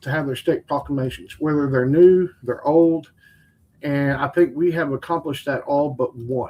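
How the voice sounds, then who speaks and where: A man speaks with a West Texas accent. His intonation is fairly even and his pace moderate. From Texas Panhandle, Lubbock. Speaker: competition barbecue cook and smoker builder. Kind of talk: podcast interview answer. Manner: casual, conversational.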